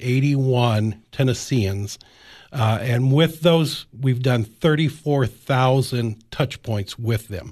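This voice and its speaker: Over a quiet background, a man with an American accent speaks at a fairly slow pace in a medium pitch, somewhat breathy, with ordinary pitch variation. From US Midwest, Illinois-Iowa border. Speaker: career coach. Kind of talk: radio interview.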